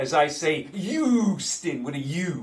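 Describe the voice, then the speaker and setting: A man with a New York accent is heard over noticeable background noise. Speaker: sports betting picks host.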